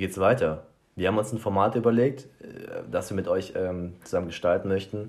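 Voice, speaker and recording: A man's fairly low voice shows ordinary pitch variation and keeps a moderate pace. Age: 20s. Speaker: podcast co-host. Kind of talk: casual chat. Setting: small apartment. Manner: halting, searches for words.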